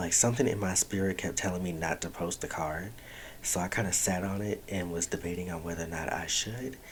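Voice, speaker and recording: A quiet man, very deep and low in pitch, his intonation fairly even. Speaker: podcast host. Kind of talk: casual monologue. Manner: quiet, low voice.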